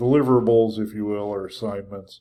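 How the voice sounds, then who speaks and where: Dark and mellow in tone, a man speaks at a fairly low pitch. The recording is very clean, with a silent background. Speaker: college instructor. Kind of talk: lecture. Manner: monotone.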